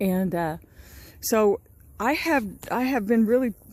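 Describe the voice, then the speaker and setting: The recording is very clean with a silent background as a woman speaks with lively intonation. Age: 60s. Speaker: small farmer and gardening vlogger. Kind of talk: casual vlog talk to camera. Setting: outdoors on her farm. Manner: halting, with many repeats and fillers.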